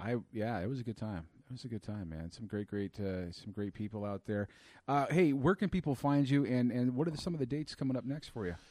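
With a plain, everyday voice and an American accent, a man talks at a fairly quick pace and medium pitch with lively intonation over a quiet background. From California. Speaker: comedy podcast host. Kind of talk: podcast monologue intro; casual interview chat.

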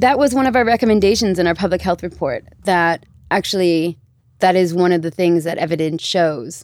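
A woman talks at a fairly quick pace with lively intonation. Hers is an unremarkable speaking voice, fairly low in pitch. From US, Baltimore, Maryland, moved to UK at 13. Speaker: bioethics policy worker. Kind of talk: casual chat.

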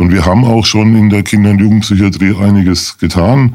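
An unremarkable speaking voice from a man, fairly low in pitch, with fairly even intonation at a moderate pace. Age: 50s. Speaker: lawyer, charity association chairman. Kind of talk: radio interview.

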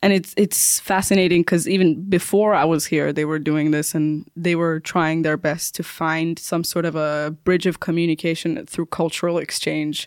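This woman's voice is fairly low. Her pace is moderate. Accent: Persian. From Iran, Tehran. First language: Persian. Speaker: stand-up comedian. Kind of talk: interview.

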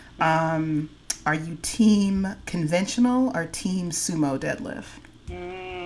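With noticeable background noise behind her, a woman with an American accent speaks very slowly at a fairly low pitch with ordinary pitch variation. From San Francisco Bay Area. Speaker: podcast host. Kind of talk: casual chat. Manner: animated.

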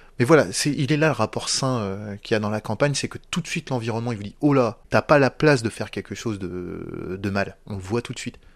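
Speaking at a fairly quick pace with hardly any pauses, a man has medium pitch and ordinary pitch variation against a quiet background. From northern France, Picardy. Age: 40s. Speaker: former prisoner. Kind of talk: testimony. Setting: at home. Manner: fast.

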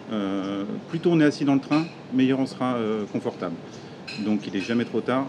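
Through noticeable background noise, a man at a medium pitch speaks at a moderate pace with lively intonation and long, frequent pauses. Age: 40s. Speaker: entrepreneur, piercing shop owner. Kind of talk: podcast interview.

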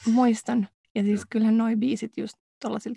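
A woman with a fairly high pitch speaks at a moderate pace in a dark, mellow tone with vocal fry and flat, monotone intonation, heard dry and close with no echo. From Finland. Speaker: podcast co-host, doctoral student. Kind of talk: casual chat. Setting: recording booth.

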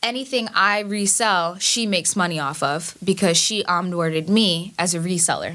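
The speaker talks at a moderate pace with a New York accent, with hardly any pauses. The pitch varies in an ordinary way. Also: woman, medium pitch for a woman. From Queens, New York. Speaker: cybersecurity technologist. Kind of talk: casual chat.

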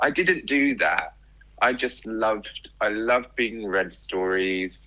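On a very clean recording with a silent background, a man in a southern English accent speaks at a fairly slow pace. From southern England, near London. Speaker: writer and speaker. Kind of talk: casual interview chat.

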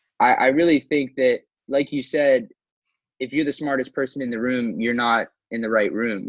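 Fairly quick in pace, an ordinary speaking voice keeps its intonation fairly even. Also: man. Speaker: student podcast host. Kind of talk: interview.

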